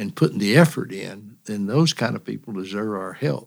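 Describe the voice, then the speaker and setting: Recorded very cleanly against a silent background, a man with an East Tennessee accent talks with lively intonation. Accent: East Tennessee Southern. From East Tennessee, Monroe County. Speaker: state politician. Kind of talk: casual interview.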